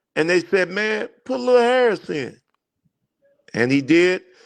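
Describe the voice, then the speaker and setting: This man speaks at a fairly slow pace, his pitch swinging very widely. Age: 60s. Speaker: former basketball player. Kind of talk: casual chat.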